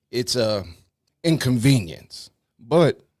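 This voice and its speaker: A man with a New York accent, speaking at a very slow pace. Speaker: talk show host. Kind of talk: casual chat.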